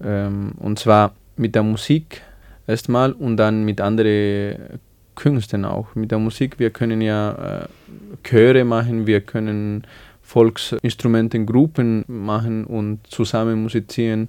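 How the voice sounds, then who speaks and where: Against a quiet background, a man with a Spanish accent talks very slowly at a medium pitch, with fairly even intonation. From Bolivia, small village. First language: Spanish (speaking German). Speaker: music student. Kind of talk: radio interview. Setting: studio. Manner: halting.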